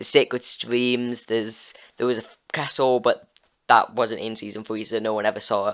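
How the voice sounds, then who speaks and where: Fairly quick speech from a man at a medium pitch. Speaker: gaming youtuber. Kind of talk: storyline recap. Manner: halting, many fillers.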